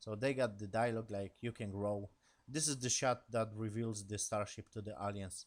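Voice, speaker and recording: Mumbling with a non-native accent, a man talks at medium pitch and a moderate pace, in a very clean recording with a silent background. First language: not English. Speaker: YouTuber reviewing TV episodes. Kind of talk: casual episode recap. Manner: halting.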